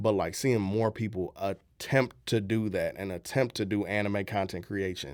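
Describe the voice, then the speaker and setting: A man with a St. Louis accent speaks at a fairly low pitch with fairly even intonation and hardly any pauses. The recording is very clean with a silent background. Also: moderate pace. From US Midwest, St. Louis, Missouri. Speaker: content creator and voice actor. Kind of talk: radio interview.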